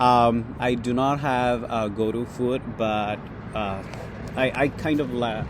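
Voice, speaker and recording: A man's monotone, flat delivery at a very slow pace, with audible room echo and noticeable background noise. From Bangladesh. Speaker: graduate student. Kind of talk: casual chat. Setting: outdoors at a cafe corner on campus.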